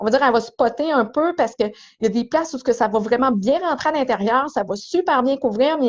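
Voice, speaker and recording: A woman's high-pitched voice at a very fast pace, with ordinary pitch variation, over a quiet background. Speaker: hairdresser. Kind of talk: live stream tutorial. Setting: small esthetics cabin in salon. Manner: casual.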